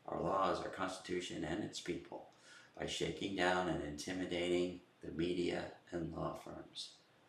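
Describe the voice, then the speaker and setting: With an American accent, a man speaks in a very deep, low voice at a moderate pace, his intonation flat and monotone, with audible room echo. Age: 70s. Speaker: political commentator. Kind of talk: political monologue. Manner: halting, many fillers and repeats.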